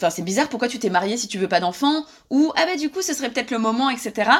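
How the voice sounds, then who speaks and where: A woman is speaking. Her intonation is lively. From France. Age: 30s. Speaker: journalist and author. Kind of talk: interview. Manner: hesitant with fillers.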